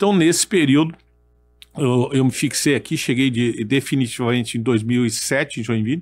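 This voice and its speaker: Over music in the background, a man talks at a fairly high pitch with ordinary pitch variation. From Brazil, military family moving around. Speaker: retired army colonel and federal deputy. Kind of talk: podcast interview. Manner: halting, repeats words.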